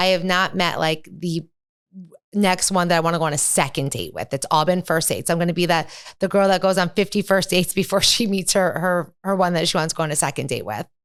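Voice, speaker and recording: Her pitch is fairly low. This woman speaks at a very fast pace. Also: very clean recording, silent background. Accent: American. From Midwest US (Saginaw, Michigan). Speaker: real estate professional. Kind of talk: casual interview.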